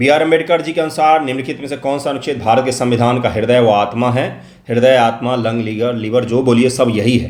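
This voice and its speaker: A man with a Bihar accent talks at a moderate pace and medium pitch, with fairly even intonation and hardly any pauses. Audible room echo surrounds his voice. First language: Maithili (speaking Hindi). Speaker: exam coaching teacher. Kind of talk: test solution lecture.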